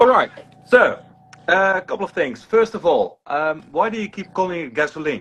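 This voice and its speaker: Speaking with a Dutch accent at a moderate pace, a man uses a high pitch, lively intonation and big swings in loudness. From Netherlands. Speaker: critic. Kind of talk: heated debate. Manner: halting.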